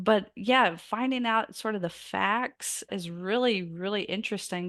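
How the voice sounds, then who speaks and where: A woman speaks in a Southern US accent at a fairly slow pace in a medium pitch. Her pitch variation is ordinary, with a quiet background behind her. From US South. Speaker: biographer and author. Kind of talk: interview.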